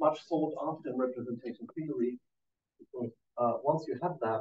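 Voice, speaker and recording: A man speaks in a somewhat breathy voice. His pace is fairly slow. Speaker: mathematician. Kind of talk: lecture. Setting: conference talk with audience. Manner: halting, many fillers.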